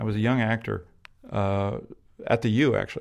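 On a very clean recording with a silent background, a man speaks at a moderate pace in a medium pitch with ordinary pitch variation. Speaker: photographer and actor. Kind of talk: interview. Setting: own home. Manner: halting, repeats words.

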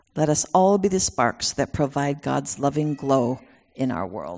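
Against a quiet background, a woman talks with vocal fry at a very deep, low pitch. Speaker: guest speaker sharing her son's message. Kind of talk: sermon. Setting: church.

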